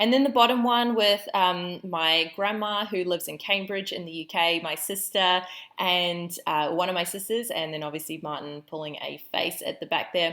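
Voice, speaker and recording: A woman with a New Zealand accent speaks at a moderate pace, barely pausing, her pitch medium and its variation ordinary. Her tone is upbeat and bright, with a sharp edge. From New Zealand, Auckland. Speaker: business coach. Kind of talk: online training presentation. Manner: casual, upbeat.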